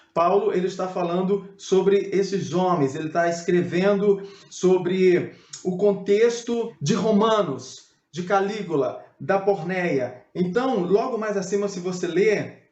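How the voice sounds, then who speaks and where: A man's high voice at a very slow pace, with ordinary pitch variation and audible room echo. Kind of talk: biblical teaching video.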